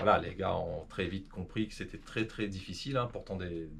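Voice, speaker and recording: Very deep, low male voice, somewhat breathy, with ordinary pitch variation and a fairly quick pace. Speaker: rally driver. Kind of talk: interview. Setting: at home. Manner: fast; hesitant, many fillers.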